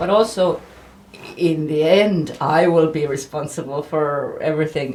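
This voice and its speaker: Noticeable background noise sits behind a woman with an Estonian accent. She talks at a moderate pace with ordinary pitch variation. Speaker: journalist. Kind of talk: casual chat. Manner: halting.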